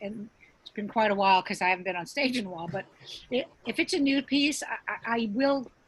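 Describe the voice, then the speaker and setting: A somewhat breathy woman with a fairly high pitch speaks with big swings in loudness. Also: lively intonation. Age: 60s. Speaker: stand-up comedian. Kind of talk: casual interview chat. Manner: halting, many repeated words.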